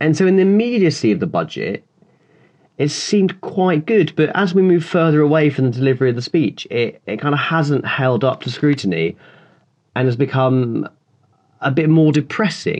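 With lively intonation and a moderate pace, an unremarkable speaking voice comes through over a quiet background. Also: man, fairly high pitch for a man. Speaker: political reporter. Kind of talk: casual chat.

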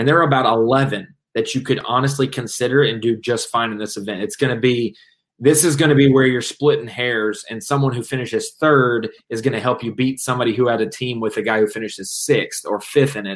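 In an ordinary speaking voice, a man talks fairly quickly at a medium pitch, with ordinary pitch variation. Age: 20s. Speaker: bass fishing commentator. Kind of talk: casual chat. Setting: live stream.

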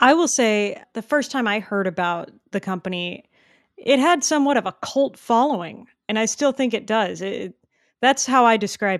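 A woman with a plain, everyday voice speaks at a fairly high pitch and a moderate pace, her intonation lively, on a very clean recording with a silent background. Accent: American. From Texas. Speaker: pet store owner and podcast host. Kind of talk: casual interview; promo reading.

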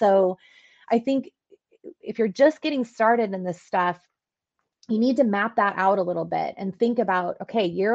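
A woman speaks in a plain, everyday voice at a moderate pace. Her pitch is medium, with ordinary variation. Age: 40s. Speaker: event company executive. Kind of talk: casual interview.

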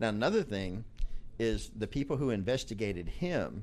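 A man with a Southern US accent, fairly low-pitched with vocal fry, lively intonation and a moderate pace. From Arkansas. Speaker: podcast guest, coworker of host. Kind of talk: casual political chat. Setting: live podcast in a cigar lounge.

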